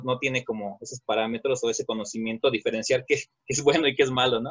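In a somewhat breathy voice of medium pitch, a man talks with ordinary pitch variation. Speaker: podcast co-host, folk dancer. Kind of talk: casual chat. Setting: home.

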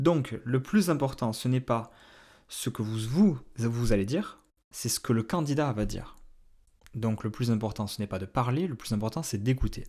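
A dark, mellow, somewhat breathy voice at a fairly slow pace, with ordinary pitch variation, on a very clean recording with a silent background. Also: man, medium pitch for a man. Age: 30s. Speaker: independent recruiter, podcast host. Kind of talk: solo podcast advice talk. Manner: hesitant, many fillers.

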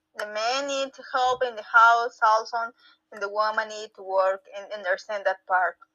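This woman talks with a Spanish accent and fairly even intonation. Her loudness swings widely. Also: fairly high pitch for a woman, moderate pace. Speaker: reading club participant. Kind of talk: casual chat. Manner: halting.

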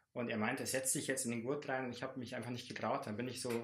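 In a room with audible echo, a man talks at a medium pitch in a monotone, flat delivery. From Lower Bavaria, Landshut. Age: 30s. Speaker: teacher and climber. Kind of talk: casual interview.

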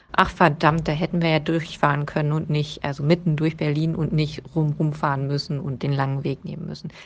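Speaking at a fairly quick pace with hardly any pauses, a woman uses a very deep, low pitch. Her intonation is monotone and flat, and her voice is somewhat breathy. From eastern Germany, Brandenburg (Premnitz). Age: 30s. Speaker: trade union secretary. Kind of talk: personal account.

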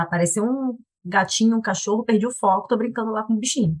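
A woman rattles along very fast, her fairly high voice rising and falling in an ordinary way. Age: 30s. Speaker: product manager, mother. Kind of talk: casual chat.

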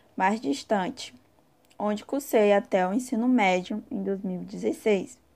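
Her voice is dark and mellow in tone, medium-pitched for a woman, and she talks at a very slow pace. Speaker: university student. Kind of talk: scripted narration.

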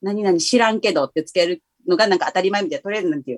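A woman speaks with very wide pitch swings. The sound is dry and close, with no echo. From Kansai, Himeji area. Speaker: DJ. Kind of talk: casual chat. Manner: animated, laughing often.

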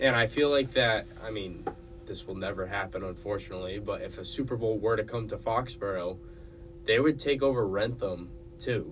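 With a normal speaking voice, a man talks at a moderate pace, his pitch fairly low with ordinary variation. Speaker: student podcast co-host. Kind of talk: casual chat.

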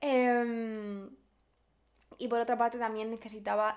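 At a fairly slow pace, a woman speaks in a flat monotone with a fairly high pitch. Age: 20s. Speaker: podcaster, university student. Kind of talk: casual personal monologue. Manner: spontaneous, unscripted.

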